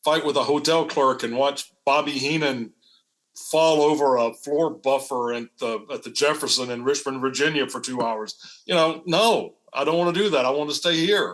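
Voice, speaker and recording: A man at a moderate pace, fairly high in pitch, with ordinary pitch variation and a normal speaking voice. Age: 60s. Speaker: former wrestling announcer. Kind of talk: casual chat.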